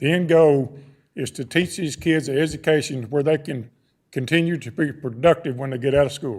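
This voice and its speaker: Speaking at a moderate pace, a man with a Texan accent uses a fairly high pitch and ordinary pitch variation. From Texas. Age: 60s. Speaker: public commenter at school board meeting. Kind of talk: public comment speech. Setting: boardroom public meeting.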